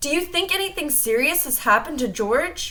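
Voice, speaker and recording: A put-on character voice at a fairly quick pace, with very wide pitch swings over light background noise. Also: woman. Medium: read story.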